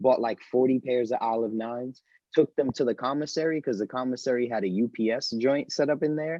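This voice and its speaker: Speaking at a fairly quick pace, a man with a New York accent has a medium pitch and ordinary pitch variation. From New York City. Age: 20s. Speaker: store owner and sneaker reseller. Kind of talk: casual podcast interview.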